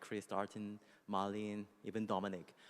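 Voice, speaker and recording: A man with a non-native accent, fairly low in pitch, at a moderate pace. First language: Korean. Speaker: music executive. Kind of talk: panel discussion. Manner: halting, many fillers.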